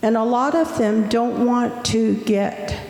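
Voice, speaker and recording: Over music in the background, a woman speaks at a very slow pace, with audible room echo around her. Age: 70s. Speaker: audience member, language educator. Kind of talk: audience question.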